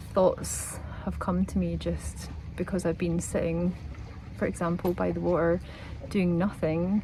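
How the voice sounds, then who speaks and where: At a fairly slow pace, a woman speaks in a relaxed tone with a Scottish accent. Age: 40s. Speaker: travel vlogger. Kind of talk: vlog to camera. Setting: outdoors by the sea. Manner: relaxed, reflective.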